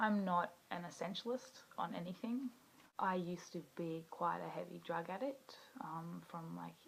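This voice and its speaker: A woman's moderate-paced speech with an Australian accent. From Western Australia, rural bush. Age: 20s. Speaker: video blogger, activist. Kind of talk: personal introduction monologue. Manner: casual with filler words.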